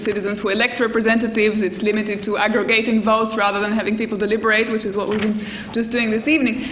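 A woman races along at a very fast pace, her voice carrying audible room echo over noticeable background noise. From Albania. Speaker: political theorist. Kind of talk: panel discussion.

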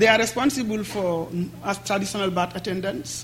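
A man with a high pitch and ordinary pitch variation at a fairly quick pace, over noticeable background noise. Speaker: activist and NGO director. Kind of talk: public lecture. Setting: lecture hall with audience.

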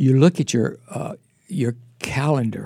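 Breathy in places, a man talks at a fairly slow pace with medium pitch and a dark, mellow tone. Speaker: pastor. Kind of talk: casual chat.

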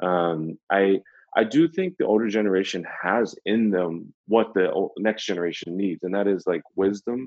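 A man with an American accent and a plain, everyday voice, fairly low in pitch, at a moderate pace with ordinary pitch variation. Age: young. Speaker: ministry leader and author. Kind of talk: casual interview. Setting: video call.

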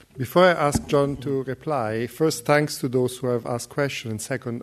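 This is a man with a normal speaking voice. He speaks at a moderate pace with ordinary pitch variation. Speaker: program director, event chair. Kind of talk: introducing speaker and moderating. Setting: lecture hall with audience.

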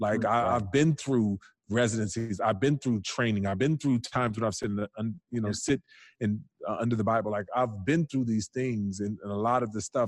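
This is an ordinary speaking voice from a man at a medium pitch. He talks at a moderate pace over a quiet background. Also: ordinary pitch variation. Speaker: pastor. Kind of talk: casual chat.

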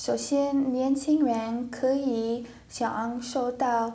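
A woman in an English accent, high-pitched with a dark, mellow tone, at a very slow pace amid audible room echo. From United States. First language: English (speaking Chinese). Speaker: language student. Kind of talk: classroom discussion. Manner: halting, many fillers.

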